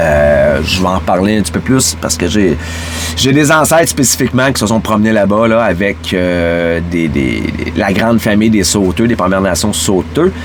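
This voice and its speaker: Over noticeable background noise, a man with a very deep, low voice talks at a moderate pace, his intonation lively and his loudness very even. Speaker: podcast host. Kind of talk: casual monologue. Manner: halting, many fillers and repeats.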